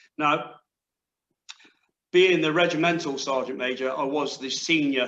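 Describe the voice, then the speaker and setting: A man's bright, sharp voice at a moderate pace, with fairly even intonation. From West Country, England. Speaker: former army sergeant major, leadership coach. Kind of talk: panel discussion.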